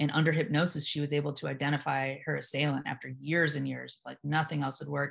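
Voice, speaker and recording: Against a quiet background, a woman with a very deep, low voice and vocal fry talks very fast in a flat monotone, hardly pausing at all. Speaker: hypnotherapist and yoga teacher. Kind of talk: casual conversation interview.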